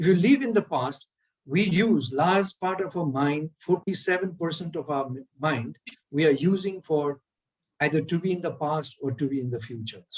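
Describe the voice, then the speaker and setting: Fairly high in pitch for a man, his normal speaking voice keeps a moderate pace and ordinary pitch variation; he is a man speaking a normal speaking voice. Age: 60s. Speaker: speaker on well-being. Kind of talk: online lecture.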